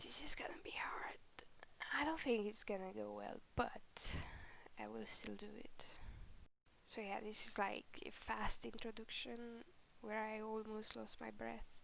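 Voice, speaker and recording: A woman whispers fairly slowly, pausing often and for long stretches. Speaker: digital artist. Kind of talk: casual voiceover commentary. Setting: home recording, background noise. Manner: unscripted, rambling; quiet.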